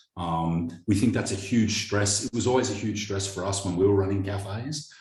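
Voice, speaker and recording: A man with an Australian accent, fairly low in pitch and somewhat breathy, at a moderate pace with ordinary pitch variation and audible room echo. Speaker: business owner. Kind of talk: interview. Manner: hesitant, repeats words.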